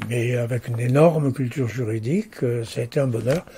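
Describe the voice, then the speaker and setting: With a dark, mellow tone, a man speaks at a medium pitch, somewhat breathy, with ordinary pitch variation. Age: 80s+. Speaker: lawyer. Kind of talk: interview. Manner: hesitant with fillers.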